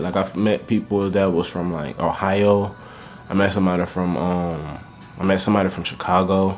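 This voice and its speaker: Someone talks with a Southern US accent over noticeable background noise. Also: man. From Louisiana. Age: 20s. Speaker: YouTuber. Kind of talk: casual vlog monologue.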